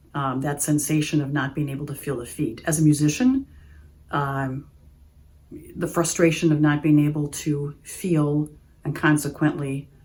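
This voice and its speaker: In an Upper Midwest accent, a woman speaks at a very deep, low pitch with a dark, mellow tone. Her pace is moderate and her intonation fairly even. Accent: Upper Midwest American. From Oshkosh, Wisconsin. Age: 60s. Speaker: patient giving testimonial. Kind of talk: testimony. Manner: hesitant, with frequent fillers.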